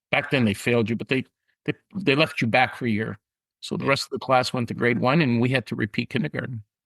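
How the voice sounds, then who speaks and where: A man's vocal fry at a medium pitch with ordinary variation, very fast in pace, with a dry, close sound and no echo. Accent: Canadian. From Canada, Niagara Falls, Ontario. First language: Italian. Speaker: insurance company president. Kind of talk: podcast interview.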